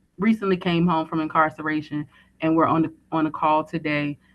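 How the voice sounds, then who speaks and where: This woman has a very deep, low voice and a slight Southern US accent. She talks at a moderate pace in a flat monotone. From Virginia, US South. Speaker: formerly incarcerated woman, prison reform advocate. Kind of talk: short speech. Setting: call into live event.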